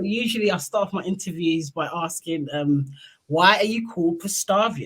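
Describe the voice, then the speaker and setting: A woman speaks in a British accent at a fairly low pitch. Her voice is somewhat breathy, with ordinary pitch variation and a moderate pace. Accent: UK. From UK. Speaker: interviewer / channel host. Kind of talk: casual interview.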